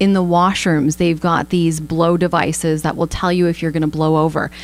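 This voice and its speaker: A woman with a Canadian accent speaks at a fairly low pitch, with noticeable background noise behind her. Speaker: radio host. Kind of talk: radio interview. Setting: studio.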